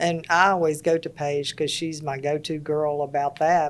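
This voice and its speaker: A woman speaks with a Mississippi accent. Her very deep, low voice holds a monotone, flat intonation. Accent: Southern US (Mississippi). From US South, Laurel, Mississippi. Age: 70s. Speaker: interior designer. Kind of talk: casual chat.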